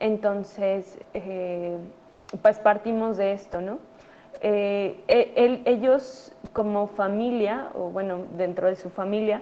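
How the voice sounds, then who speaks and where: A woman speaks very slowly at a medium pitch with fairly even intonation, her loudness swinging widely. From Mexico City. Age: 30s. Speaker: doctor. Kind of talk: conference talk to students. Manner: halting, many fillers.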